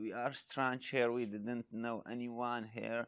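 Against a quiet background, a man with a Kurdish accent speaks at a medium pitch. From Iraq (Yazidi, Sinjar); Iraq. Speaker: charity volunteer. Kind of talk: interview testimony. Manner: halting, with frequent repetitions. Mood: earnest, warm. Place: open country.

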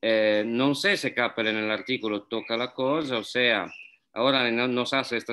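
On a very clean recording with a silent background, a man with a medium pitch and a bright, sharp tone speaks at a fairly slow pace with fairly even intonation.

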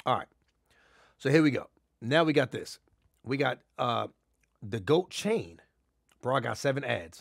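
Over a quiet background, a man with vocal fry and an animated tone speaks at a fairly slow pace, leaving long, frequent pauses. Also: lively intonation. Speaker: livestreamer. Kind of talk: casual live stream commentary. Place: home room.

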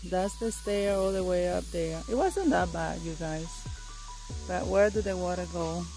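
Clear music plays behind a woman talking at a fairly slow pace. Her voice sounds dry, with no echo. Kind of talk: casual vlog chat. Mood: excited, cheerful. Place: forest. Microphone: phone near.

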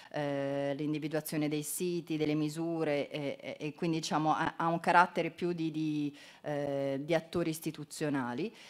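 At a moderate pace, a woman speaks in a very deep, low voice with flat, monotone intonation. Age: 50s. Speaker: environment ministry official; presenter. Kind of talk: conference talk. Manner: halting, many fillers. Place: hall.

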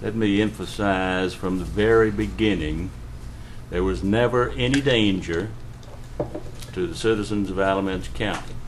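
A man's fairly low voice with lively intonation, a moderate pace and long, frequent pauses, set against noticeable background noise. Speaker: county official. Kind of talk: public meeting discussion. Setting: county commissioners meeting room.

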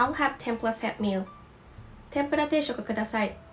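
A woman with a Japanese accent talks with ordinary pitch variation while faint music plays in the background. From Osaka, Japan. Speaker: Japanese language teacher. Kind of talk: language lesson to camera. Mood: calm and friendly.

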